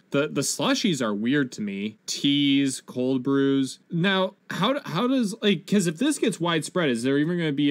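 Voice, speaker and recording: A man with fairly high pitch talks at a moderate pace. His intonation is lively. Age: 20s. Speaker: gaming and pop culture podcast co-host; pop culture podcast co-host. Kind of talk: casual chat. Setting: remote video call. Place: home room. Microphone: headset.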